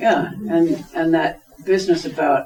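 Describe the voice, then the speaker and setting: A man speaks over noticeable background noise. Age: 70s. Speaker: workshop attendee. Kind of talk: audience discussion. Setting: community centre workshop.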